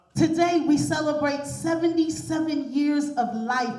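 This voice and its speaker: Her pitch is high and her pace fairly slow as this woman speaks with fairly even intonation. Noticeable background noise runs underneath. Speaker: pastor. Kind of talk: spoken word tribute poem.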